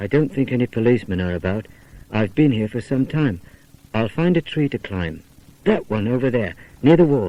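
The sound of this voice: Lively intonation in an unforced reading voice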